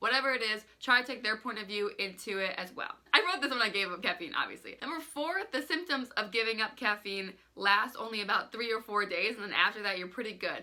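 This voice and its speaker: Over noticeable background noise, a woman with a fairly high pitch talks very fast with lively intonation and hardly any pauses. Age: 20s. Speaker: lifestyle vlogger. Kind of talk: casual vlog talk.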